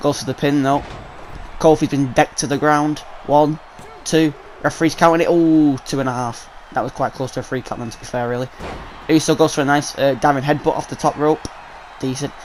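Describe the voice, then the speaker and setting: Very fast and fairly high-pitched, a man with a British accent talks over noticeable background noise. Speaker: gaming YouTuber. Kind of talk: live game commentary. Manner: animated.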